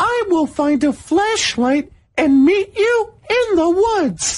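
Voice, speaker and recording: Squeaky and extremely high in pitch, the put-on character voice goes at a fairly slow pace. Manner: yelling down.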